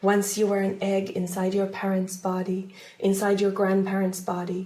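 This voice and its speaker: In a room with audible echo, a woman talks at a medium pitch. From Finland. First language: Finnish. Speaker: folk herbalist and storyteller. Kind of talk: reading aloud; casual self-introduction.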